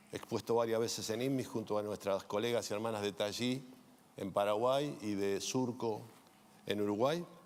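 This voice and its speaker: Moving at a moderate pace, an unremarkable speaking voice carries ordinary pitch variation. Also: man. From Argentina. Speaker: insurance executive. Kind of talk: panel self-introduction.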